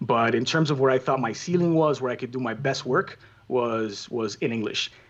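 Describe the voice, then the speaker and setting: Speaking with a Spanish accent, a man uses a medium pitch and a moderate pace. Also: ordinary pitch variation. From Cuba, raised in Miami. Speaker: soccer play-by-play commentator. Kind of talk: casual interview.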